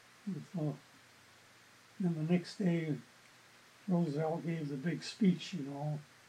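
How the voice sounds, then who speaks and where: An American-accented man speaks very slowly at a fairly high pitch, with fairly even intonation and long, frequent pauses. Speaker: retired newspaper journalist. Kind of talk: oral history interview.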